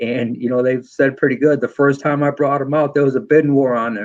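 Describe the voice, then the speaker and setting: A man speaks with a New England accent and fairly even intonation. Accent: Yankee. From New York. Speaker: motorcycle footpeg maker and machinist. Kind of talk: podcast interview. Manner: fast.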